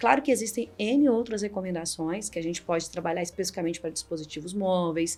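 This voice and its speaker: A woman talks very fast at medium pitch with hardly any pauses. Her tone is animated. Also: ordinary pitch variation. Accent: Minas Gerais. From Minas Gerais, Brazil. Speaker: cybersecurity executive. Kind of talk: podcast interview.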